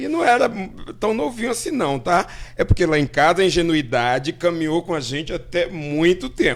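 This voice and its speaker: This man's pitch is high. His intonation is lively. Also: moderate pace. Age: 60s. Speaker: artist. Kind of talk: casual chat. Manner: halting.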